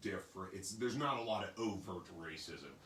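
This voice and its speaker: Audible room echo surrounds a man with an American accent as he talks fairly quickly with ordinary pitch variation. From northeast Kansas. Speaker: panel guest. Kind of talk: panel discussion. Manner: loud, projecting; animated.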